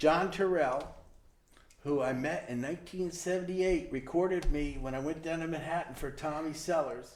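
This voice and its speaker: With an ordinary speaking voice, a man talks at a moderate pace, his fairly high pitch moving in fairly even intonation. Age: 60s. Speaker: musician and volunteer. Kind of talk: interview. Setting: studio.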